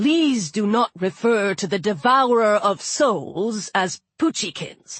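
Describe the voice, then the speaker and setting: A put-on character voice, female-sounding and medium in pitch, moves along at a fairly slow pace. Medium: read story.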